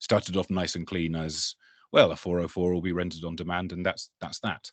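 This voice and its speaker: Talking at a fairly quick pace, a man with an English accent uses a very deep, low pitch and a monotone, flat intonation. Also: quiet background. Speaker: tech conference speaker, developer experience lead. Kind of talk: technical presentation. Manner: hesitant, many fillers.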